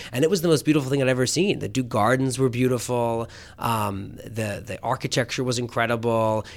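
An unremarkable speaking voice from a man, medium-pitched, fairly quick, with ordinary pitch variation. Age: 30s. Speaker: magazine editor. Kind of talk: interview. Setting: office.

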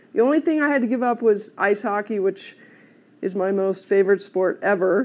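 Here is a woman with a plain, everyday voice. She speaks at a moderate pace. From US Midwest, South Bend, Indiana. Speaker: golf director, former pro golfer. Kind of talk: panel discussion.

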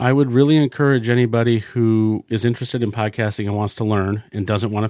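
Recorded with a dry, close sound with no echo against a quiet background, a man with a fairly low pitch speaks at a fairly quick pace with fairly even intonation in an unremarkable speaking voice. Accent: American. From rural New Hampshire, US. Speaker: podcast studio owner. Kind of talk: casual interview chat. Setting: podcast studio.

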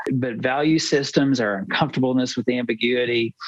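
A man with an American accent, medium in pitch, with ordinary pitch variation, over noticeable background noise. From United States. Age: 50s. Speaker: researcher and entrepreneur. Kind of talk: podcast interview.

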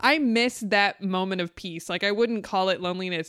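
Speaking in a plain, everyday voice, a woman with an American accent talks at a moderate pace and medium pitch with ordinary pitch variation, on a very clean recording with a silent background. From US West Coast, Southern California (San Fernando Valley). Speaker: podcast co-host and writer. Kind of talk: casual interview.

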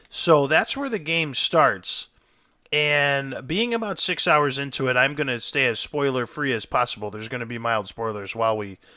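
Bright and sharp in tone, a man at medium pitch is heard in a very clean recording with a silent background. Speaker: podcast host and gamer. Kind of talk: casual podcast chat. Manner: confident, talkative.

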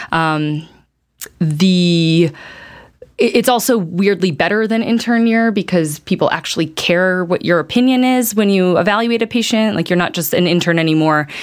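A woman with an American accent and an ordinary speaking voice talks at a moderate pace and medium pitch, with ordinary pitch variation and very even loudness. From US Midwest, Chicago. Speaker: medical resident in obstetrics and gynecology. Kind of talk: casual interview.

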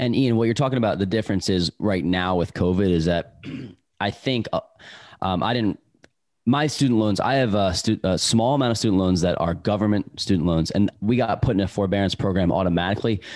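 A man with a fairly low pitch uses a plain, everyday voice, ordinary pitch variation and very even loudness at a fairly quick pace. The recording is very clean, with a silent background. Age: 30s. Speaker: podcast co-host. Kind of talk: podcast interview.

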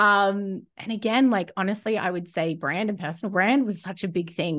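Against a quiet background, a woman with an Australian accent talks at a fairly quick pace. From Australia, Rockhampton, Queensland. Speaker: business coach. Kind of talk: interview.

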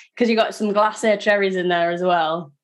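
A woman speaks in a British accent. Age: 30s. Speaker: podcast host. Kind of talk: casual chat; scripted narration. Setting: video call.

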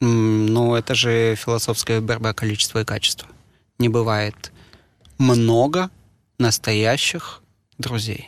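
Very slowly, a man speaks at a medium pitch, leaving long, frequent pauses. His intonation is fairly even and his loudness very even. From Moscow, Russia. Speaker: sommelier and wine bar manager. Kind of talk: interview conversation.

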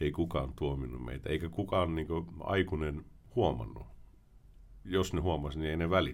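A man's very deep, low voice at a moderate pace. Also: ordinary pitch variation. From Sweden (Finnish family, moved at age 4). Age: 40s. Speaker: former criminal turned author and prevention worker. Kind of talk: podcast interview.

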